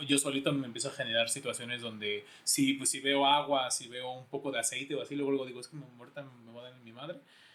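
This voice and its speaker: Over noticeable background noise, a man talks very fast in a fairly high voice. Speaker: podcast co-host. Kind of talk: casual chat. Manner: halting.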